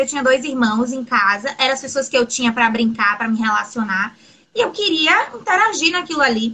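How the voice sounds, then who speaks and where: A high-pitched woman with lively intonation at a moderate pace. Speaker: LGBTQIA+ interviewee. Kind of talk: interview conversation.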